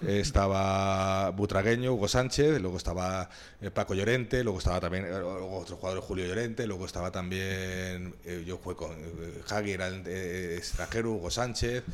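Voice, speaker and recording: With fairly even intonation, a man speaks at a moderate pace in a very deep, low pitch. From Spain, Madrid. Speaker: former professional footballer. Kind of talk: interview storytelling. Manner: halting, many fillers and repetitions.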